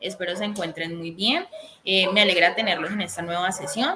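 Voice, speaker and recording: This is a woman talking. Her pitch sits in the medium range. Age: 20s. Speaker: accountant teaching a course. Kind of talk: online lecture. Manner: hesitant, many fillers.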